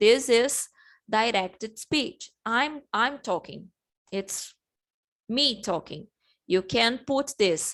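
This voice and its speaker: A woman with a Portuguese accent speaks very slowly in a fairly high pitch, her lively intonation broken by long, frequent pauses over a quiet background. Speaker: English teacher. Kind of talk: online class lesson. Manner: halting, many fillers and restarts.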